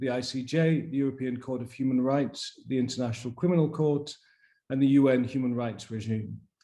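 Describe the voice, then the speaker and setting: Audible room echo surrounds a man with a dark, mellow tone and fairly high pitch who speaks at a moderate pace with fairly even intonation. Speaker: conference organizer. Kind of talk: conference opening remarks. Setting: video conference.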